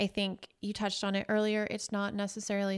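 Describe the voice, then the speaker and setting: The recording is very clean, with a silent background. A woman speaks at a medium pitch in a plain, everyday voice. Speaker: podcast co-host. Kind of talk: casual chat.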